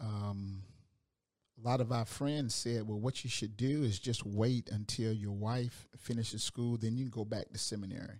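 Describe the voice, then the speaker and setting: Speaking in a Georgia accent, a man keeps a medium pitch, fairly even intonation and a moderate pace. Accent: Southern American (Georgia). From US South, Augusta, Georgia. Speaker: hospital chaplain and pastor. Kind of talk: casual interview. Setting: studio.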